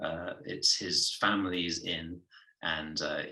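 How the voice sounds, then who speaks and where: He speaks with an English accent. The voice belongs to a man. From southwest England. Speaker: actor. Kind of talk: interview. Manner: hesitant, many fillers.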